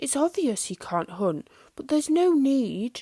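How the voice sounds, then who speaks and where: A woman does a put-on character voice with a high pitch at a moderate pace. The recording is very clean, with a silent background. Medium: read story. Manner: soft, hushed.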